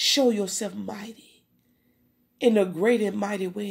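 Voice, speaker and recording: This is a woman speaking. Her pace is fairly slow. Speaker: prayer leader. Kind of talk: fervent spontaneous prayer with speaking in tongues. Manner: impassioned, repetitive rhythmic invocations of Father God.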